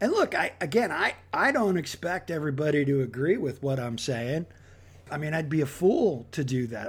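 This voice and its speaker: With lively intonation and an American accent, a man talks at a fairly quick pace in a somewhat breathy voice. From Philadelphia, Pennsylvania. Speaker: podcast host. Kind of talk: casual solo monologue. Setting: home recording. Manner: halting, many repeated words.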